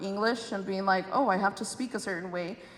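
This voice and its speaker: Noticeable background noise sits under a woman's voice in an American accent. Her pitch is medium, with ordinary variation. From Chicago, Southwest Side. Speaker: state senator moderating a panel. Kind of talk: panel discussion. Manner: casual, animated.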